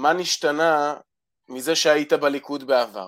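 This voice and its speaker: This man's voice sits fairly high. He talks very slowly. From Israel. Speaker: caller. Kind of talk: call-in conversation. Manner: halting.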